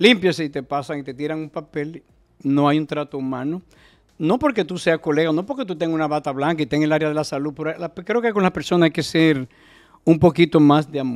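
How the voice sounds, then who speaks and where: Against a quiet background, a man talks at a fairly quick pace, his fairly high pitch showing ordinary variation. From Dominican Republic. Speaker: doctor and political candidate; candidate. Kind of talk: interview. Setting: studio. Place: studio. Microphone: studio mic.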